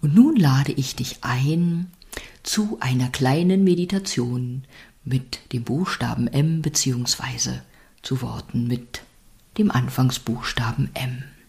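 Very slow and somewhat breathy, the voice has a warm, soothing tone that is also dark and mellow. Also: woman, very deep, low pitch for a woman. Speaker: podcast host and meditation guide. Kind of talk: guided meditation; calm spoken reflection on life. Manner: slow, soothing, gentle; warm, encouraging, intimate address.

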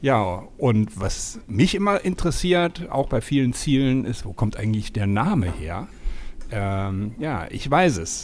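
Very wide pitch swings mark this man's speech. He talks at a very slow pace. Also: medium pitch for a man, very clean recording, silent background. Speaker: travel podcast co-host. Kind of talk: casual chat. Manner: talkative.

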